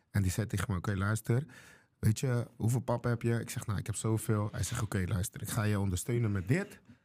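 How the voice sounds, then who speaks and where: Over a quiet background, a man speaks very fast with a dark, mellow, somewhat breathy tone, a fairly low pitch and ordinary pitch variation. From Curaçao. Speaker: chef and restaurant owner; guest. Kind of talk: casual interview. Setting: studio. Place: studio. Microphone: studio mic.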